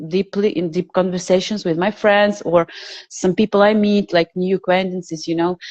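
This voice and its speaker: A woman speaks with a non-native accent. Her pitch variation is ordinary. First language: not English. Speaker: alternative health researcher and social media creator. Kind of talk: interview conversation. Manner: halting.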